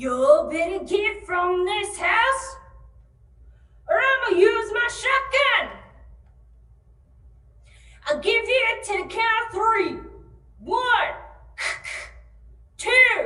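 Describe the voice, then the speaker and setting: Putting on a gruff character voice at an extremely high pitch, a woman speaks very slowly with long, frequent pauses and audible echo. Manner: threatening, commanding.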